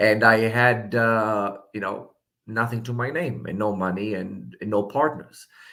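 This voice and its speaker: Speaking at a fairly slow pace, a man with an Israeli accent keeps his intonation fairly even. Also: fairly low pitch for a man. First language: Hebrew. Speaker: political candidate. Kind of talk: interview.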